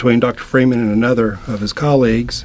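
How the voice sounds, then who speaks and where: Noticeable background noise sits under a monotone, flat intonation. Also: man. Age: 60s. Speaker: attorney, patient. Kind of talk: interview testimony. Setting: studio.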